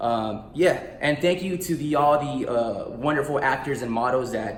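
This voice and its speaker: A man with an American accent speaks with ordinary pitch variation, with audible room echo and noticeable background noise around him. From US, Guatemalan family. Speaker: actor and author. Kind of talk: casual promotional vlog. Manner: animated.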